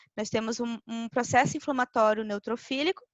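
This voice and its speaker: Her voice sits high in pitch for a woman. She talks at a middling tempo. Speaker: veterinarian lecturer. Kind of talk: lecture.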